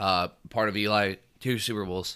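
A man's bright, sharp tone comes through on a very clean recording with a silent background. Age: 20s. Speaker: sports podcast host. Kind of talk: casual chat.

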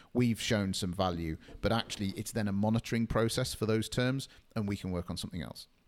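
On a very clean recording with a silent background, a man talks at a very fast pace in a fairly low pitch with ordinary pitch variation. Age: 30s. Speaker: SEO agency co-founder. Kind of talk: podcast interview.

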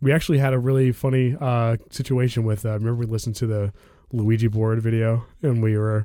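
A very fast voice with an American accent, a dark, mellow tone and fairly even intonation, on a very clean recording with a silent background. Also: man. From DC area, Maryland suburbs. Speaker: podcast host. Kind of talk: casual chat. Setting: at home.

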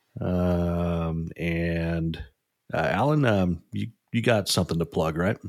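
A man with a very deep, low pitch and ordinary pitch variation talks at a very slow pace. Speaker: podcast co-host. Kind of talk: casual chat.

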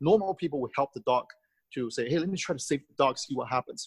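Speaking very fast in a Taiwanese accent, this voice has lively intonation and a dry, close sound with no echo. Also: man. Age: 50s. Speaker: charity group founder, businessman. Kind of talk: interview answers, personal storytelling.

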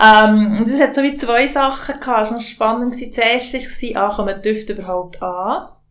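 A woman with a fairly high pitch speaks with hardly any pauses and ordinary pitch variation. The room echo is audible, and background noise is noticeable. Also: moderate pace. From Swiss mountain valley (Valais). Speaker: podcast host and label founder. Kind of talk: casual conversation.

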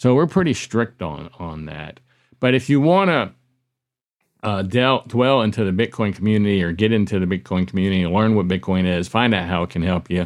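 In an ordinary speaking voice, a man talks fairly quickly at a fairly low pitch on a very clean recording with a silent background. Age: 60s. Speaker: business owner and podcaster. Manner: relaxed, chatty.

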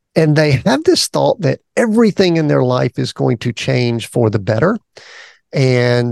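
With a Southern US accent, a man speaks at a fairly slow pace in a dry, close recording with no echo. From US South. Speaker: podcast host, executive coach. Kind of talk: interview conversation.

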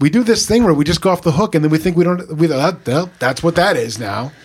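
Speaking at a very fast pace, a man uses a fairly high pitch and lively intonation. Vocal fry runs through his voice. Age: 50s. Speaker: pastor. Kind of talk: casual chat.

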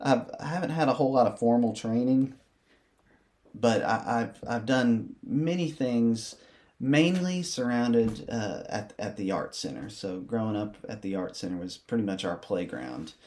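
With lively intonation and a medium pitch, a man speaks at a moderate pace. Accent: East Tennessee. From US South, Athens, Tennessee. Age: 30s. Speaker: school administrator and musician. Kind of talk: casual interview. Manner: hesitant, many fillers.

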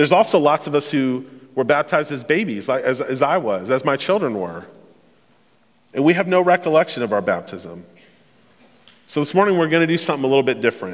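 With vocal fry and a fairly high pitch, a man rushes at a very fast pace, swinging his pitch very widely and leaving long, frequent pauses. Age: 30s. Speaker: pastor. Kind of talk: sermon. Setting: church.

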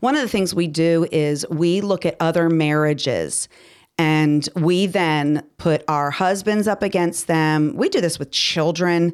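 A woman with an ordinary speaking voice talks at a fairly slow pace and very even loudness on a very clean recording with a silent background. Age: 50s. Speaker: podcast co-host. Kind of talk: casual chat.

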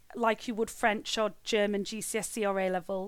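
A woman's fairly high voice with a Mancunian accent, in a very clean recording with a silent background. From Greater Manchester, northern England. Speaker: head of English as an additional language at a college. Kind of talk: interview. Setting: at home.

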